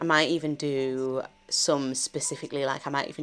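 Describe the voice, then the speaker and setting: Music plays in the background as a relaxed voice talks in a monotone, flat intonation. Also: woman. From UK. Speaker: podcast host. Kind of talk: casual chat. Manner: rambling, relaxed chatty pace.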